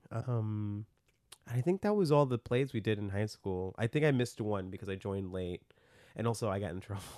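A dark, mellow tone in an American accent, fairly quick pace, ordinary pitch variation, over a quiet background. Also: man. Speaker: magician and actor. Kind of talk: casual chat. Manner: casual, filler-heavy, laughs often.

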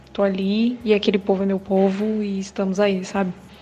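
Speaking at a moderate pace and medium pitch, a woman has a plain, everyday voice. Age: 20s. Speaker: video editor, church member. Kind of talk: testimony.

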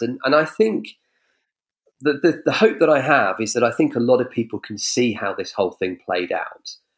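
A man with an English accent, very wide pitch swings and a moderate pace. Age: 40s. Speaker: political commentator. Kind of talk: casual chat. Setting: video call.

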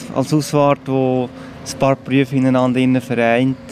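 At a fairly slow pace, a man talks at a medium pitch against noticeable background noise. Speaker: church sexton and caretaker. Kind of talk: casual interview.

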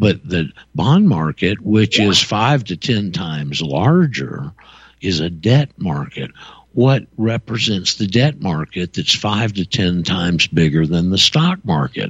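This man's voice is very deep and low, with very wide pitch swings. He talks at a fairly slow pace. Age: 70s. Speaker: radio talk show host. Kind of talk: call-in radio talk. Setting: radio studio.

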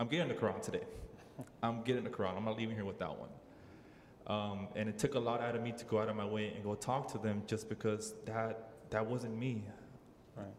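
In an American accent, the speaker moves at a fairly quick pace with fairly even intonation and long, frequent pauses, amid audible room echo and noticeable background noise. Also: man, medium pitch for a man. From Southeast Dallas, Texas. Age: 20s. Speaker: new convert, former boxer. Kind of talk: personal testimony. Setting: mosque with audience. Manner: halting, many fillers.

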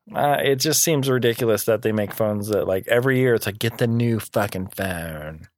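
Using a plain, everyday voice at a medium pitch, a man talks at a fairly quick pace with ordinary pitch variation, hardly any pauses and very even loudness. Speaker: podcast host. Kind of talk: casual chat.

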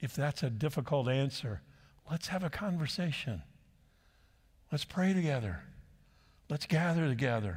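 In a West Coast accent, a man with a fairly high, somewhat breathy voice uses lively intonation at a moderate pace with long, frequent pauses, on a very clean recording with a silent background. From southern California. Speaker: pastor. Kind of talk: sermon.

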